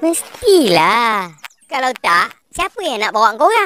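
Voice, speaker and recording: A man puts on a cartoonish character voice at an extremely high pitch with very wide pitch swings. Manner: warm, easygoing.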